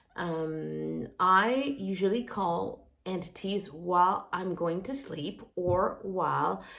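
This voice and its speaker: Spoken in a French accent, the words come at a very slow pace with hardly any pauses. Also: woman, medium pitch for a woman, ordinary pitch variation. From France. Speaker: occult practitioner vlogger. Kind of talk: casual monologue. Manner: halting, many fillers.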